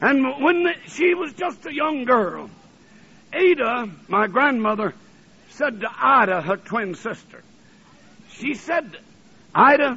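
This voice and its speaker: A man with a Southern US accent speaks at a very slow pace, stopping often for long pauses. His pitch is extremely high and swings very widely. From US South, Alabama. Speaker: preacher. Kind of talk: sermon. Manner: fervent.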